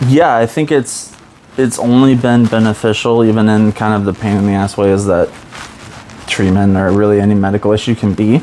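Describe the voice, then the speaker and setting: Fairly low-pitched man at a fairly quick pace, with fairly even intonation and very even loudness, over noticeable background noise. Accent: American. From US Midwest. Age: 30s. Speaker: podcast guest in addiction recovery. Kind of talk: casual interview chat. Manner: halting, many fillers.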